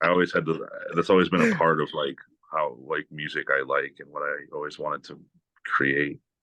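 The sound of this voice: A man's extremely low voice with a bright, sharp tone, little pitch movement and a moderate pace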